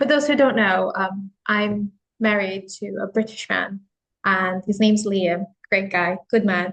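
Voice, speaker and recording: A woman with a Filipino accent speaks in a fairly even intonation. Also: medium pitch for a woman. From Philippines. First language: Tagalog. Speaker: office worker. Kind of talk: casual chat.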